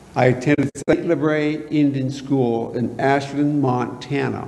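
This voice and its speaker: Noticeable background noise and audible room echo surround a man whose voice sits at a fairly high pitch. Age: 60s. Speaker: retired police officer, guest speaker. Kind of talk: guest talk in church. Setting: church congregation.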